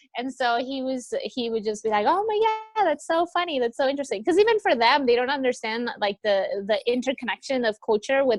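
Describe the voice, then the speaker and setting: Music plays in the background as a woman with a high voice and an American accent speaks at a fairly quick pace with lively intonation, with a dry, close sound with no echo. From US West Coast, Los Angeles. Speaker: returned volunteer, university administrator. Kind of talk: interview. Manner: casual, many fillers (like, um).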